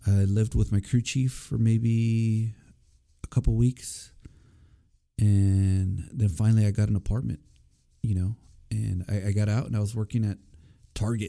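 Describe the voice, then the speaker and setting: A dark, mellow tone comes through in monotone, flat intonation with long, frequent pauses. The recording is very clean, its background silent. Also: man, fairly low pitch for a man, moderate pace. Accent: American. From Corpus Christi, Texas. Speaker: Marine Corps veteran podcast host. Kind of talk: personal storytelling monologue. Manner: casual, hesitant with many fillers.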